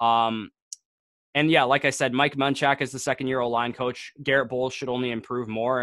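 In a Canadian accent, a man with a normal speaking voice and medium pitch talks at a moderate pace, with a dry, close sound, no echo and a quiet background. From Canada. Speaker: fantasy football podcast host. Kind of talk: casual chat.

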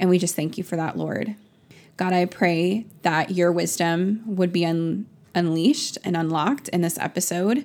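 A woman with an ordinary speaking voice and a fairly low pitch talks at a fairly slow pace on a very clean recording with a silent background. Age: 20s. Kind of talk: fervent spoken prayer, intimate and pleading; casual faith podcast monologue. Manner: earnest, imploring, repeated 'God' and 'Lord' addresses; chatty with frequent laughs and 'um' fillers.

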